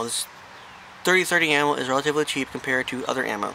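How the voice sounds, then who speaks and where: A man mumbling at a very fast pace amid noticeable background noise. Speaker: hunter. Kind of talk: gun review talk to camera.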